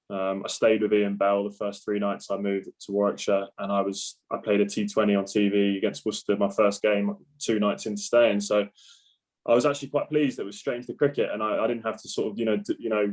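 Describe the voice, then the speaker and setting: With a southern English accent, a man speaks at a fairly quick pace in a monotone, flat intonation. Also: fairly low pitch for a man. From southern England, Surrey. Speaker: professional cricketer. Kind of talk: podcast interview.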